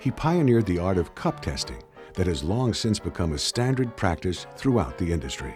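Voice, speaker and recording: Music plays behind a man whose very deep, low voice swings very widely in pitch. He talks at a fairly quick pace with very even loudness. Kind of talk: documentary narration.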